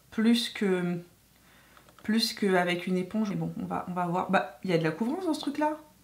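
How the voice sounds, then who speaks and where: This is a woman speaking. Her pace is moderate. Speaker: beauty YouTuber. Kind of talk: makeup tutorial chat. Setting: home filming with ring light. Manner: hesitant, many fillers.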